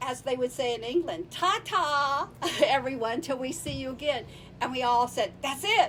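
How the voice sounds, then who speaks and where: With lively intonation and a high pitch, a woman speaks at a moderate pace over noticeable background noise. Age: 70s. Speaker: podcast guest, founder of women's travel group. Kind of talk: casual interview chat. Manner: halting, many repeated words.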